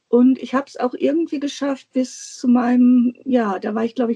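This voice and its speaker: A high-pitched woman's voice of dark, mellow tone, ordinary pitch variation, and a dry, close sound with no echo. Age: 50s. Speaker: guest on a planner podcast, teacher. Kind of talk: casual interview chat. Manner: hesitant, many filler sounds.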